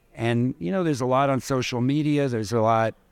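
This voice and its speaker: A plain, everyday voice from a man with an American accent, medium pitch and fairly even intonation. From New York City. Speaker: prosthetist. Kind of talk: conversational interview. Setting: live recording at a conference.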